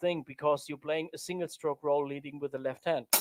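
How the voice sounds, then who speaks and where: At a fairly high pitch, a man with a non-native accent speaks in a dry, close sound with no echo. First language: not English. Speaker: drummer and drum teacher. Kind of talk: tutorial. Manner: halting.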